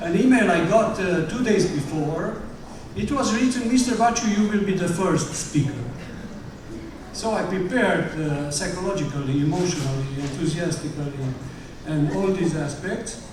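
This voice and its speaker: A speaker with a Romanian accent talks at a moderate pace with lively intonation. Audible room echo and noticeable background noise are present. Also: man, high pitch for a man. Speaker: parent speaker at graduation. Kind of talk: ceremony speech. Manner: halting.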